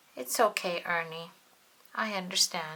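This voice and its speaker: A woman puts on a character voice at a fairly low pitch. Her pace is moderate. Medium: read story.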